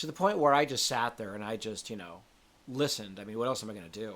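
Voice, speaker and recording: Ordinary pitch variation at a fairly quick pace. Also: man. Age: 60s. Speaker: spiritual coach. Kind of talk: casual monologue. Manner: candid conversational, swearing-laced.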